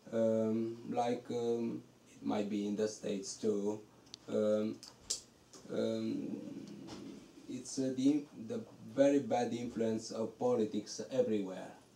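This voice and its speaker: Over noticeable background noise, a man talks at a very slow pace, leaving long, frequent pauses. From Romania. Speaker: novelist. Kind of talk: bookstore talk. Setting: bookstore event with audience. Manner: halting.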